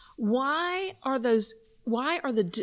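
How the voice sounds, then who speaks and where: A woman's high voice with a Southern US accent and very wide pitch swings. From US South. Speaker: podcast co-host. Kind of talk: casual chat. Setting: conference venue.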